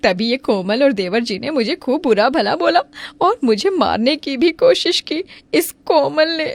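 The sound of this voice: A woman's cartoonish character voice, high-pitched with vocal fry, lively intonation and a fairly slow pace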